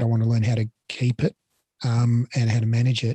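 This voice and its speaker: With an Australian accent, a man talks at a fairly quick pace in a medium pitch, his tone dark and mellow and somewhat breathy, the sound dry and close with no echo. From Australia, Melbourne. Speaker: Pilates educator and business owner. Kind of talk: interview. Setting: video call.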